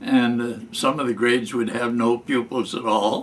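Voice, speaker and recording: A man with a Midwestern US accent at a fairly slow pace. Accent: US Midwest. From Michigan. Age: 90s. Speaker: war veteran. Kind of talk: storytelling. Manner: halting.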